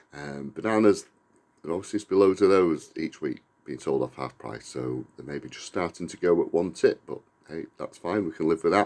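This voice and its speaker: A man's fairly quick speech carries an English accent. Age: 50s. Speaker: vlogger. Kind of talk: casual vlog talk. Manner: hesitant, many fillers.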